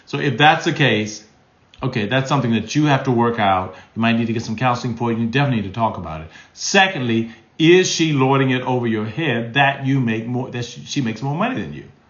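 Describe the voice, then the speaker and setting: Very fast and animated, a man talks at medium pitch with lively intonation. Audible room echo surrounds his voice. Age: 60s. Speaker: relationship advice host. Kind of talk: live stream Q&A.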